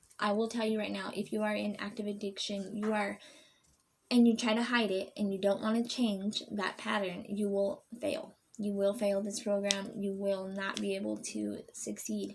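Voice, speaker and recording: In a monotone, flat delivery, a woman talks with a somewhat breathy voice. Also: medium pitch for a woman, moderate pace. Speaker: vlogger sharing recovery program experience. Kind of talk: casual vlog talk to camera. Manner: halting, many fillers.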